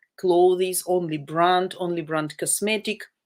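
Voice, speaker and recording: A fairly slow-paced woman's voice, with a very clean recording and a silent background. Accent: Ukrainian. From Ukraine, Sumy. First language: Ukrainian. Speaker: live-stream dating channel host. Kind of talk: live stream chat. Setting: video live stream. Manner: loud; animated.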